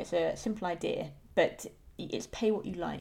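A woman talks with vocal fry. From rural England. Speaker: podcast co-host. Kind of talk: casual chat.

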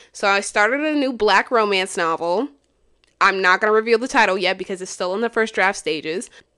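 A woman with a medium-pitched, bright, sharp and animated voice talks at a fairly quick pace with ordinary pitch variation over a quiet background. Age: 20s. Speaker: podcaster and writer. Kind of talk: casual monologue.

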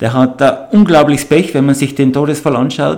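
A man talks with a Tyrolean accent and ordinary pitch variation. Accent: Tyrolean Austrian German. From Tyrol, Austria (Absam near Hall). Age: 60s. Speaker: mountain guide and avalanche expert. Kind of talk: podcast interview.

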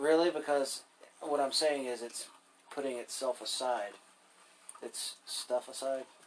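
At a fairly slow pace, a man speaks with medium pitch and fairly even intonation. He takes long, frequent pauses. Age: 30s. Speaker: gaming podcast co-host. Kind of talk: casual gameplay chat.

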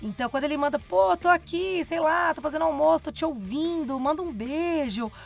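Her pitch is high and her intonation lively. The woman talks at a fairly quick pace. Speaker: radio presenter. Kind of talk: casual chat. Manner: announcer-like delivery.

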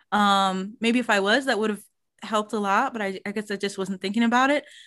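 The recording is very clean, the background silent. It captures an unremarkable speaking voice with an American accent, ordinary pitch variation and a fairly quick pace. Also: woman. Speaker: podcast host, language learner. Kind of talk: casual interview conversation.

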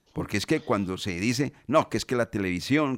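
Very fast speech from a medium-pitched man comes through on a very clean recording with a silent background and a dry, close sound with no echo. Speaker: sports radio host. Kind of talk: radio sports talk show.

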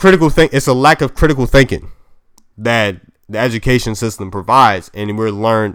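A man with an American accent talks at a moderate pace in a medium pitch. His pitch varies in an ordinary way. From US, Maryland. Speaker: podcast host. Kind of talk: solo podcast monologue. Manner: casual, halting.

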